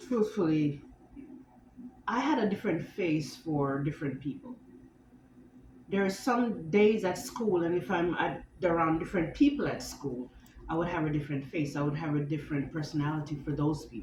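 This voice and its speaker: The speech moves at a moderate pace with lively intonation and long, frequent pauses. Audible room echo fills the recording. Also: woman, very deep, low pitch for a woman. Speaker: vlogger. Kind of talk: personal vlog monologue. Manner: halting with tics and self-corrections.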